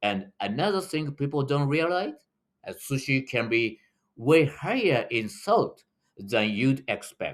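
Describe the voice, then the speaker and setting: On a very clean recording with a silent background, a man with a Japanese accent talks fairly slowly in a fairly high pitch, his voice making very wide pitch swings. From Japan, Tokyo. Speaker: running tour guide. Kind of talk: video tutorial.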